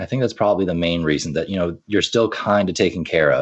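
This man talks at a very fast pace with an American accent. His pitch is very deep and low. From Ireland, from age 10 to about 21 (US-born). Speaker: teacher and entrepreneur. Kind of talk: casual interview.

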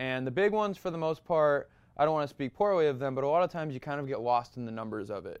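A man with an American accent, fairly high pitch, lively intonation and a very fast pace, over a quiet background. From Massachusetts. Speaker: model and actor. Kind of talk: interview, casual chat.

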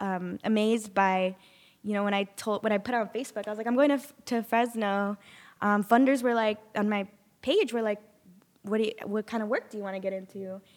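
A woman with a normal speaking voice talks at a fairly high pitch, her intonation fairly even. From Sanger, California Central Valley. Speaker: community organizer. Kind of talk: interview.

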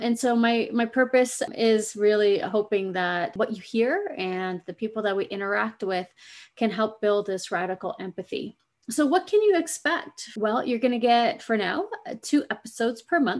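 A woman has a plain, everyday voice with a fairly high pitch and lively intonation. She talks at a moderate pace against a quiet background. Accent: American. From US Pacific Northwest. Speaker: podcast host and screenwriter. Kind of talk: solo podcast monologue.

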